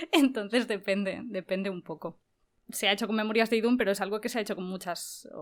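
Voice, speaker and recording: Pitched fairly high, a woman speaks at a very fast pace with fairly even intonation. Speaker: voice actress and youtuber. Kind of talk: interview.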